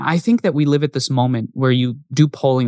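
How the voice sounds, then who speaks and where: A man talks at a fairly quick pace in a normal speaking voice. His pitch is medium, and the sound is dry and close with no echo. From US Northeast. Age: 20s. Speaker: podcast host. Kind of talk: solo monologue; casual interview.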